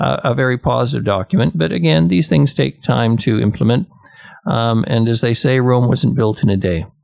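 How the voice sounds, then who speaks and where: Amid noticeable background noise, a man speaks at a moderate pace and medium pitch, his loudness very even but his pitch swinging very widely. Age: 70s. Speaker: city mayor. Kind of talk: radio interview. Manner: hesitant, many fillers.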